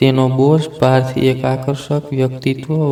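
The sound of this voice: This is an unforced reading voice. It carries no other marked traits.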